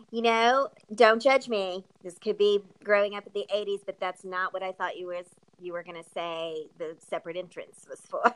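A woman with an American accent has an unremarkable speaking voice at medium pitch, with ordinary pitch variation. She talks at a moderate pace, and the sound is dry and close with no echo. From California. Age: 40s. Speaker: podcast host. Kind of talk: casual interview chat.

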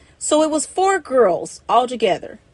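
A woman with an American accent and an unremarkable speaking voice talks at a fairly slow pace. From Ohio, Cincinnati. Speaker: domestic violence survivor and author. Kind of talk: personal testimony storytelling.

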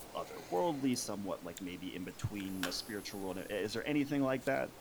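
A man talks at a fairly quick pace in a fairly low voice. His pitch varies in an ordinary way. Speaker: podcast co-host. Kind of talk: casual interview conversation.

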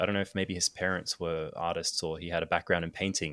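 A man with an Australian accent and a very deep, low pitch speaks with fairly even intonation, recorded very cleanly against a silent background with a dry, close sound and no echo. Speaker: photographer and filmmaker. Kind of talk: casual chat.

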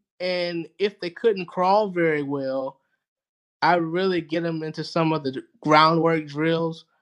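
Speaking at a very slow pace, a man with a Southern US accent talks in a high pitch. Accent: Southern US (Georgia). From US South, rural Georgia. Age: 30s. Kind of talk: casual interview chat.

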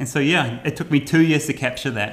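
Lively intonation carries a man's fairly high pitch in an unremarkable speaking voice. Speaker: travel YouTuber. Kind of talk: casual interview conversation.

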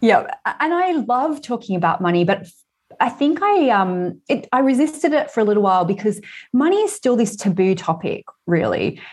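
Against a quiet background, a woman with an Australian accent speaks at a moderate pace in a fairly high voice, her pitch swinging very widely while her loudness stays very even. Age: 40s. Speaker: author and money coach. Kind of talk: casual interview. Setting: remote call.

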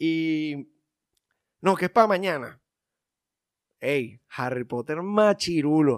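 In a very clean recording with a silent background and a dry, close sound with no echo, a man speaks very slowly at a fairly high pitch, with lively intonation and long, frequent pauses. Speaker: film podcast co-host. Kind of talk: casual chat.

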